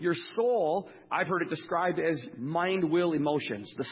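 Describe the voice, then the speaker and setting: There is audible room echo as a man with an American accent talks at a fairly high pitch. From Wisconsin, US. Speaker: speaker sharing testimony, former diesel mechanic. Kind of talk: testimony; sermon.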